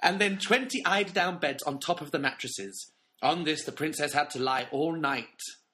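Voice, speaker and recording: Lively intonation and a bright, sharp tone mark this man's fairly high voice. He keeps a moderate pace. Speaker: podcast co-host. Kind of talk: casual chat.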